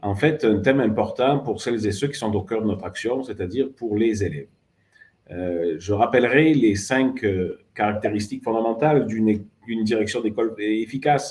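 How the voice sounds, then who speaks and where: A man speaks with a southern French accent at a moderate pace. His pitch is medium, with ordinary variation. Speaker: education ministry official. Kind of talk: formal closing speech. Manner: formal, with frequent hesitations.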